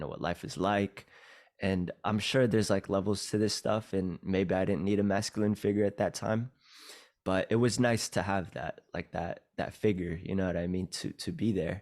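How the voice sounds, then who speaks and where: An ordinary speaking voice at a moderate pace with fairly even intonation, on a very clean recording with a silent background. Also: man, fairly low pitch for a man. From California (moved from Philippines at about 6). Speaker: podcast guest. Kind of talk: casual interview, life story. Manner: casual, many fillers and restarts.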